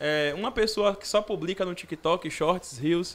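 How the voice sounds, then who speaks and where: The speaker has a Bahian accent. Pitch varies in an ordinary way. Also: man. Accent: Bahian Brazilian Portuguese. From Brazil, Salvador (Bahia). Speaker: police officer cadet; podcast guest. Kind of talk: casual podcast interview. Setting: studio. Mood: relaxed, casual. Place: studio. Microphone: studio mic.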